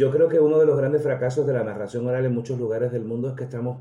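At a very fast pace, a man speaks at medium pitch in a dark, mellow tone that is somewhat breathy, with ordinary pitch variation. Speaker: storyteller. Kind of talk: interview.

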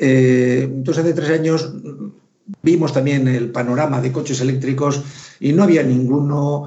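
Fairly even intonation carries speech at a moderate pace. The room adds audible echo. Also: man. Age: 60s. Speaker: retired theoretical physicist, electric car owner. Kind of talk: casual chat.

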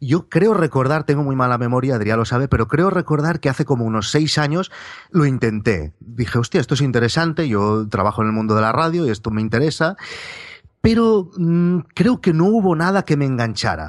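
A man with a fairly high pitch swings very widely up and down. The background stays quiet. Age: 30s. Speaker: journalist. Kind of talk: interview.

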